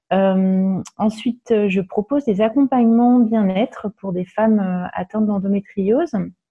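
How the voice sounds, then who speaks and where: A woman with a medium pitch talks at a fairly slow pace with hardly any pauses. Her pitch varies in an ordinary way. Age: 40s. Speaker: holistic wellness practitioner. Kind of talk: podcast interview. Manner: hesitant, many fillers.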